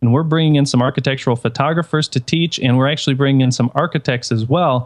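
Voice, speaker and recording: Here a man with an American accent talks very fast at a fairly high pitch. His intonation stays fairly even. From Detroit, US Midwest. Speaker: photographer. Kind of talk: casual chat.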